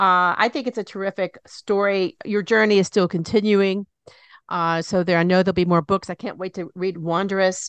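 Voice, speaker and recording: Her medium-pitched voice moves at a moderate pace. The woman is recorded dry and close with no echo against a quiet background. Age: 60s. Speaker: radio talk show host. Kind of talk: interview. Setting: studio. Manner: animated.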